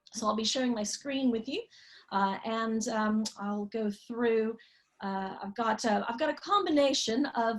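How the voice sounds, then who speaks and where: Speaking at a moderate pace with an American accent, a woman uses a fairly high pitch and ordinary pitch variation. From Texas, US. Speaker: marketing consultant and tour guide. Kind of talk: online class for beginners.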